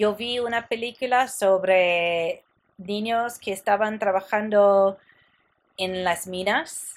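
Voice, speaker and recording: This woman's voice sits at a medium pitch with ordinary pitch variation. She speaks at a very slow pace. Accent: English. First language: English (speaking Spanish). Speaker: podcast host. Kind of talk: interview.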